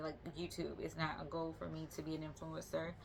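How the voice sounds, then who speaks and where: Speaking at a moderate pace, a woman talks with a Southern US accent. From US South, Georgia (Albany). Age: 30s. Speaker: vlogger. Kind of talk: casual vlog monologue. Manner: casual, conversational with fillers.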